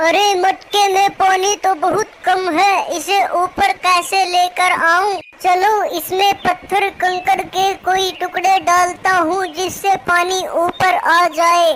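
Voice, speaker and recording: Over clear background noise, a woman in a cartoonish character voice with an extremely high pitch speaks at a very slow pace with hardly any pauses. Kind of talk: children's cartoon acting. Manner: expressive, talks to himself.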